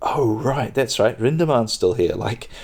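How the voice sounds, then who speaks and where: A soft-spoken man talks at a moderate pace. His pitch varies in an ordinary way. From New Zealand. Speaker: podcast host and stand-up comedian. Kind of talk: casual podcast monologue, chatty. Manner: soft-spoken, relaxed.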